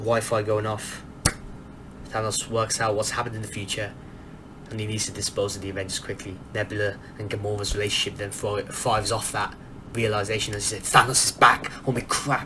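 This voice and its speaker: The speaker talks at a fairly quick pace in an animated tone. Noticeable background noise runs underneath. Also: man, fairly low pitch for a man. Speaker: movie review youtuber. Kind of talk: casual film review monologue. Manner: soft-spoken; animated, fast with many restarts.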